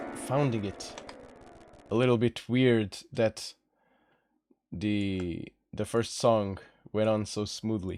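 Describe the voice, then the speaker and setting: With music in the background, a man in a relaxed tone speaks at a fairly low pitch, a very slow pace, and fairly even intonation, with long, frequent pauses. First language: Portuguese. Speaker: singer and streamer composing music. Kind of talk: casual live stream chat. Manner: relaxed, chilled; halting, repeats words.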